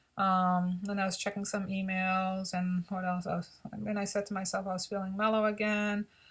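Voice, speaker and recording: This woman's medium-pitched, somewhat breathy voice moves at a fairly quick clip with hardly any pauses and a monotone, flat intonation. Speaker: vlogger reviewing CBD. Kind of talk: personal video diary. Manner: halting, many fillers and repeats.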